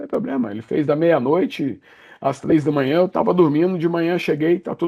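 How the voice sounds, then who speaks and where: A man talks at a moderate pace in a fairly high voice. His intonation is lively. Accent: Brazilian. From Brazil, Minas Gerais (Juiz de Fora). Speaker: software company executive. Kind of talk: podcast interview.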